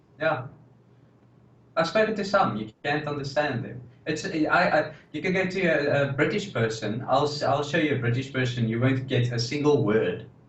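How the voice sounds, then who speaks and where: With a South African accent, a somewhat breathy voice speaks at a moderate pace amid audible room echo. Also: man, fairly high pitch for a man, ordinary pitch variation. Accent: South African, noticeable. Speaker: podcast co-host. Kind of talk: casual chat.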